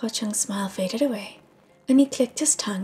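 Reading aloud in a natural voice, pitch shifting by ordinary amounts

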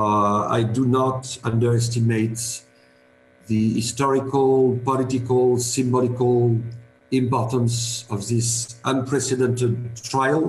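Over light background noise and audible room echo, a man talks in a somewhat breathy, monotone, flat way. His fairly slow speech has long, frequent pauses and very even loudness. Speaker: lawyer speaking at an online conference. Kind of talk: conference speech. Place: home room. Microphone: video call.

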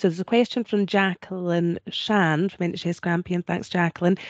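In a Scottish accent, a woman speaks at a medium pitch, the sound dry with no echo and the background quiet. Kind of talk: moderating Q&A. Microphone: video call.

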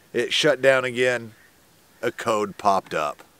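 The voice shows ordinary pitch variation and a dry sound with no echo. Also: man. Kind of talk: casual vlog chat. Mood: mildly frustrated storytelling. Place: open country.

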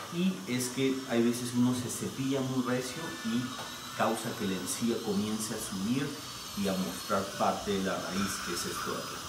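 At a fairly slow pace, a man speaks while noticeable background noise carries on. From Lima, Peru. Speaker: dentist. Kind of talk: explaining treatment to a patient. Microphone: camera far.

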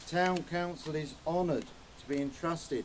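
A man talks at a moderate pace, his intonation fairly even, with light background noise behind him. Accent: English. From England. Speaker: town mayor. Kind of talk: ceremonial speech. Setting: outdoors. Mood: solemn, respectful. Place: open country. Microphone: handheld.

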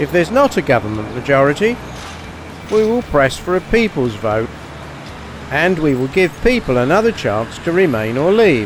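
At a moderate pace, a man speaks with very wide pitch swings and long, frequent pauses. The sound is dry with no echo, with noticeable background noise. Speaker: candidate. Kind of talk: political street conversation. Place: street. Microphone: handheld.

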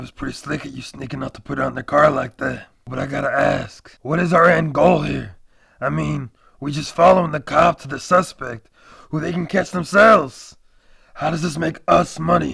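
A raspy, put-on character voice from a man, fairly high in pitch with ordinary pitch variation, big swings in loudness and a moderate pace. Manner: cocky, blunt.

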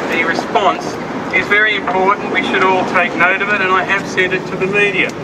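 A man keeps a moderate pace while loud background noise carries on behind him. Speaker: rally speaker and lobby group member. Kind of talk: rally speech to a crowd, political and accusatory. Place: street. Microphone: camera far.

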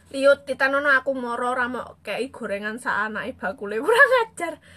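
Speaking in a raised, projected voice with a strong Javanese accent, a woman uses lively intonation at a high pitch. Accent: thick Javanese. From East Java (Blitar/Kediri area); East Java, Indonesia. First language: Javanese (speaking Indonesian). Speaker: social media live streamer. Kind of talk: casual live stream chat reading comments. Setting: Facebook live stream. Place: home room. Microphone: phone near.

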